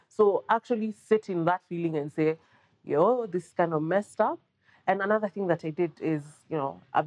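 A woman with a plain, everyday voice and a fairly low pitch talks at a fairly quick pace, her loudness swinging widely and her pitch varying in an ordinary way, in a dry, close sound with no echo. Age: 40s. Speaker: journalist and content creator. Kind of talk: casual chat.

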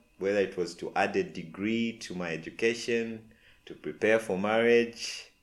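Lively intonation marks a man's medium-pitched speech in a plain, everyday voice. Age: 30s. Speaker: podcast host. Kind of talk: personal reflection monologue.

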